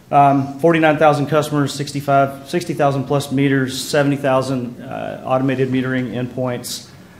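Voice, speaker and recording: Over noticeable background noise and audible room echo, a man speaks at a fairly quick pace. He barely pauses and keeps his intonation monotone and flat. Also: fairly high pitch for a man. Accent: Texas. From Texas. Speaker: electric cooperative manager. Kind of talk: conference presentation. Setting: conference panel with audience. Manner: many filler words, hesitant.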